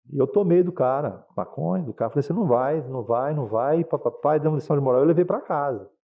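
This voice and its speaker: A man speaks at a very fast pace with a fairly high pitch and hardly any pauses. His tone is animated and his intonation lively. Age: 60s. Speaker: pastor. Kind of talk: testimony. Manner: casual, animated storytelling.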